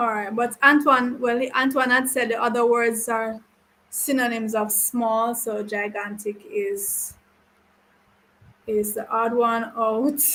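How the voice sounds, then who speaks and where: A woman's bright, sharp voice, fairly high in pitch, very slow and monotone, with flat intonation. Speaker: teacher. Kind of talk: online class. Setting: live stream class.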